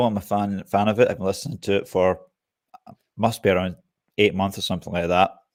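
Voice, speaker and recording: This man talks very fast with a Scottish accent. His pitch is fairly low. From Scotland. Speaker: bushcraft YouTuber and software developer. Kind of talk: casual interview chat. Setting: live stream.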